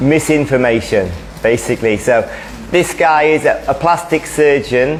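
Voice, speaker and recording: A man's fairly high voice, with ordinary pitch variation, comes at a fairly slow pace through noticeable background noise and audible room echo. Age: 60s. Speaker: running coach giving a talk. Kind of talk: presentation talk.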